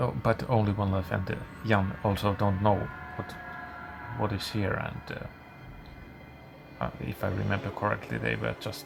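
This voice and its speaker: A man with a fairly low pitch and lively intonation, fairly slow in pace, over noticeable background noise. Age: middle-aged. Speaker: gaming YouTuber. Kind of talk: gameplay commentary. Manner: halting, many fillers.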